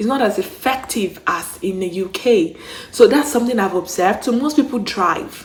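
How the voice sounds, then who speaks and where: Speaking at a moderate pace, a woman uses lively intonation, a fairly high pitch and an animated tone. Noticeable background noise is present. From Nigeria. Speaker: YouTuber, travel and relocation vlogger. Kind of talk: casual vlog monologue.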